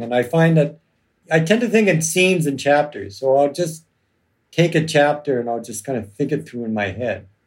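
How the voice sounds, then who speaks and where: A man with an unremarkable speaking voice speaks in a Canadian accent at a medium pitch. His pace is moderate and his intonation lively. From Canada, Toronto. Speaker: criminal lawyer and novelist. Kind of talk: casual chat. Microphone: audio track problems.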